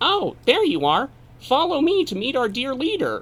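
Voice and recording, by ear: A squeaky, high-pitched put-on character voice leaps through very wide pitch swings. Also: moderate pace.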